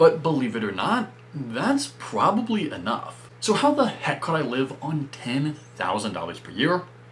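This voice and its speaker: With an American accent, the speaker talks while noticeable background noise fills the recording. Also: man, moderate pace. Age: 20s. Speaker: personal finance youtuber. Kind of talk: explainer video monologue.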